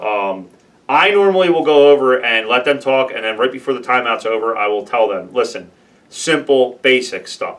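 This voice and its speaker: His intonation is lively and his pitch medium. The man speaks at a moderate pace. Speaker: beer league hockey goalie podcast host. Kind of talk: casual podcast chat. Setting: studio with camera and microphone. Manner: loud.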